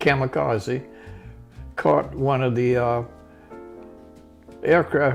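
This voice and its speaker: A man speaks at a fairly slow pace with fairly even intonation and a medium pitch. Music plays in the background. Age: 80s+. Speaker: Navy veteran. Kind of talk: interview answer.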